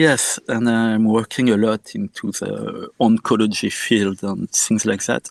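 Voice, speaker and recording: In a dry, close sound with no echo, a man with a French accent speaks at a fairly slow pace with hardly any pauses. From France, Normandy. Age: 50s. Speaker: musician and medical doctor. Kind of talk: interview. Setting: podcast interview.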